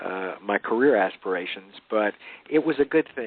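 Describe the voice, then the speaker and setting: In a Southern US accent, a man with a medium pitch talks at a moderate pace. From Louisiana, US South. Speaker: author. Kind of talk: interview. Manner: halting, many fillers.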